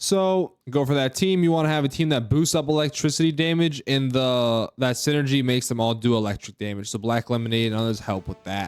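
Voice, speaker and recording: Over music in the background, a man talks at a fairly quick pace with hardly any pauses. His pitch is medium, with ordinary variation. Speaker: gaming YouTuber. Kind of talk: game tutorial with commentary. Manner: fast; casual, conversational.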